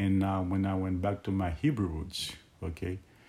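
Noticeable background noise sits behind a man who speaks at a moderate pace in a very deep, low voice. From Haiti. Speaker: Bible teacher. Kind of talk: Bible teaching monologue. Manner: halting, many fillers.

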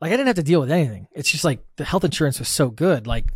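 In a very clean recording with a silent background, a man with an American accent sounds somewhat breathy. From US Midwest, Wisconsin. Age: 30s. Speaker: software company founder. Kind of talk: casual interview.

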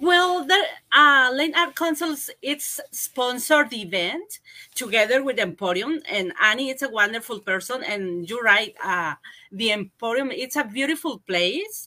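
A woman with a Spanish accent speaks at a fairly slow pace in a high pitch, her bright, sharp tone moving through very wide pitch swings. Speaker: arts council representative. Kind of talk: interview. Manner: halting.

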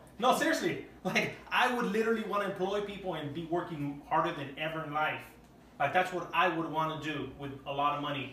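The voice is loud, at a fairly quick pace with ordinary pitch variation. Audible room echo and noticeable background noise are present. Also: man, high pitch for a man. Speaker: podcast host. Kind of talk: casual chat. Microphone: no microphones, camera audio.

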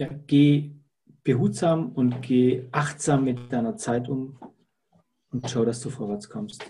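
Somewhat breathy and with a dark, mellow tone, a man speaks at a very slow pace with long, frequent pauses. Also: medium pitch for a man, ordinary pitch variation. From Lake Constance region, southern Germany. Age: 50s. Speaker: salesperson. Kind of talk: interview. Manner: hesitant with frequent fillers.

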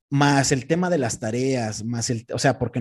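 A man with a normal speaking voice, moderate pace and ordinary pitch variation. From central Mexico, Texcoco area. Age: 20s. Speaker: content creator and radio host. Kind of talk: casual interview.

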